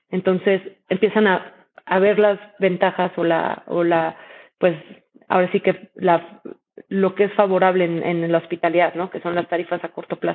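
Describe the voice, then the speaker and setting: Monotone, flat intonation at a moderate pace. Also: woman, medium pitch for a woman. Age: 30s. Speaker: startup founder and CEO. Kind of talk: interview. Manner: halting, many repetitions.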